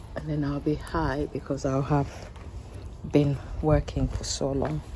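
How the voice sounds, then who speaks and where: A woman speaks at a fairly slow pace. She is soft-spoken. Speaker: home vegetable gardener vlogger. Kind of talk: casual vlog narration while harvesting. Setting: home garden, late evening. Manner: quiet, soft-spoken.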